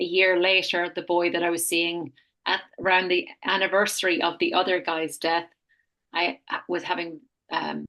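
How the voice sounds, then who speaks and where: This woman has an Irish accent, a fairly low pitch and a bright, sharp tone, speaking at a moderate pace with monotone, flat intonation. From Ireland. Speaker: health retreat founder. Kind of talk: podcast interview, personal testimony.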